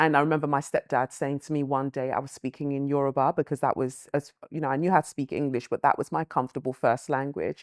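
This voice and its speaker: A woman's very deep, low voice in a London accent, monotone and flat, on a very clean, silent recording with a dry, close sound and no echo. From London, UK (born Lagos, Nigeria, moved at five). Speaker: writer and presenter. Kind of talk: interview.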